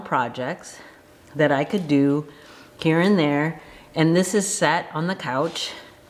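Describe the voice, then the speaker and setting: A woman speaks with a very deep, low voice. Her pace is moderate and her pitch varies in an ordinary way. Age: 50s. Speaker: knitting vlogger. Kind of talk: casual talk to camera.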